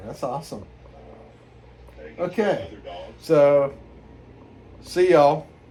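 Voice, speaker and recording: Someone with an American accent speaks with big swings in loudness and long, frequent pauses. Audible room echo and noticeable background noise fill the recording. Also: man. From New York area (Pelham, Westchester). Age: 60s. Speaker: hiker vlogger. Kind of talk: casual chat.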